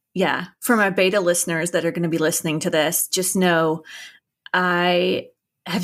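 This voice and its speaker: Speaking at a moderate pace, the woman uses a fairly low pitch. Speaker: podcast host. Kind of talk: casual chat. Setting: remote interview, separate rooms. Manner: low energy.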